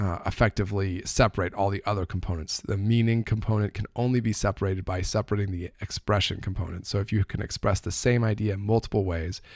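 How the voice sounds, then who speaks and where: Fairly quick, fairly even intonation, with a very clean recording and a silent background. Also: man. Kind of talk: casual explanatory talk to camera. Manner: fast.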